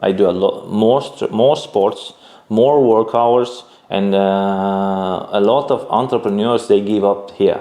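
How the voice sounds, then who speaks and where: A man with a non-native accent, fairly low-pitched, very slow, with fairly even intonation and very even loudness. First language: not English. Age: 30s. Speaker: entrepreneur. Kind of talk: interview. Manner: halting.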